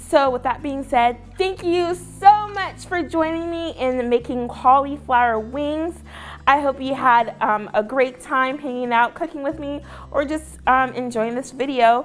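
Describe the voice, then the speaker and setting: With a Southern US accent, a woman speaks at a fairly slow pace in a high pitch, with noticeable background noise behind her. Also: ordinary pitch variation. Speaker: cooking class instructor. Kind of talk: cooking tutorial. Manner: casual, upbeat.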